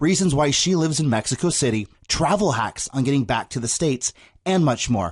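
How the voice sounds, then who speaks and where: With an American accent, a man talks at a fairly quick pace with lively intonation. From San Diego, California (North County). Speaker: podcast host. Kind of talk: interview; scripted intro.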